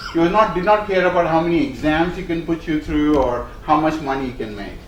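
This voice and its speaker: Spoken with an Indian accent at a moderate pace, the voice has ordinary pitch variation, with noticeable background noise and audible room echo. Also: man. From India, Bombay. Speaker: company executive. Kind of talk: speech. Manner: many fillers and hesitations.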